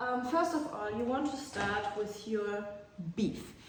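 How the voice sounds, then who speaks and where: A woman speaks slowly-ish, at a fairly slow pace, with a German accent and a fairly high pitch. The recording has audible room echo and noticeable background noise. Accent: German accent, apologises for her English. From Germany. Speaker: cooking vlogger. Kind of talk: casual vlog monologue. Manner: hesitant, many fillers and repetitions.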